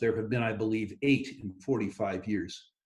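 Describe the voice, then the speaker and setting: A man talks with ordinary pitch variation. His voice is somewhat breathy. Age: 60s. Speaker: resource investment executive. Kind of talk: interview.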